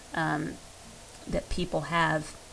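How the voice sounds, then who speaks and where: Audible room echo around a woman's very slow speech. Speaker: history teacher. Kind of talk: lecture. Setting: recorded over slides. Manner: hesitant, many fillers.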